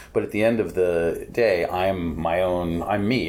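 In a room with audible echo, a man with a very deep, low voice and an American accent speaks with ordinary pitch variation. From New York City, Upper East Side. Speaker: author and book critic. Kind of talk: interview. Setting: book fair.

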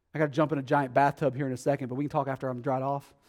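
A man with a fairly high pitch and a dark, mellow tone is heard on a very clean recording with a silent background. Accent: Texas. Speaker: pastor. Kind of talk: sermon. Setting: church.

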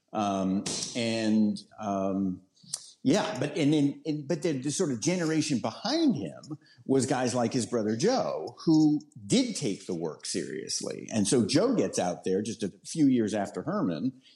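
Speaking fairly slowly, a man at a medium pitch swings very widely up and down in tone. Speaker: author. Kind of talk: interview. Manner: sounds young.

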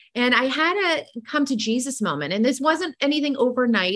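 A woman with an ordinary speaking voice talks at a moderate pace with lively intonation. The recording is very clean and the background silent. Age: 40s. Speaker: nutrition and wellness coach. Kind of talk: interview.

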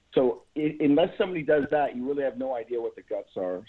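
A man with an unremarkable speaking voice, fairly high pitch, lively intonation and a fairly quick pace. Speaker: caller. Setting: phone call.

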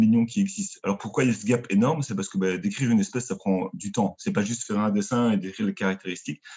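The man has an ordinary speaking voice at a medium pitch. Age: 30s. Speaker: marine biologist. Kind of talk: casual chat.

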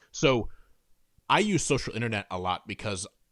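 On a very clean recording with a silent background, a man speaks at medium pitch with lively intonation. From Indiana, US Midwest. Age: 30s. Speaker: author and book editor. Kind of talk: podcast interview.

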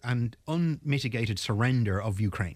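On a very clean recording with a silent background, a man with an Irish accent speaks at a medium pitch with lively intonation. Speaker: naval architect and mediator. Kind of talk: panel discussion. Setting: studio.

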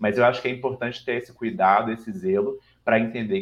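In a Minas Gerais accent, a man speaks at a fairly quick pace. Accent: mineiro (Minas Gerais). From Brazil, Minas Gerais (Belo Horizonte). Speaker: diversity consultancy founder and CEO. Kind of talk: interview.

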